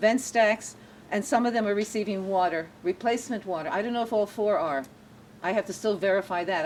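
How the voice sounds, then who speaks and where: With an ordinary speaking voice, a woman talks at a fairly quick pace, medium in pitch, with ordinary pitch variation. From born in Germany to refugee parents, raised in US from about age 7. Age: 60s. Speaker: local activist and tour guide. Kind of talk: casual conversation on a guided tour.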